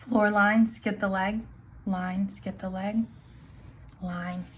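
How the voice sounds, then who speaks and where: The pace of this woman's speech is very slow. Her pitch stays at a medium level. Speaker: art teacher. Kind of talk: tutorial.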